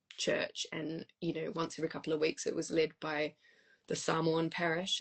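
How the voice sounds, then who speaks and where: Speaking with a New Zealand accent, a woman keeps a moderate pace. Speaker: musician and choir leader. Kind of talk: casual interview.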